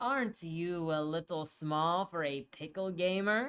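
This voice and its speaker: In a put-on character voice at middle pitch, the speaker talks at a fairly slow pace over a hissing sound. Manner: hissing, menacing.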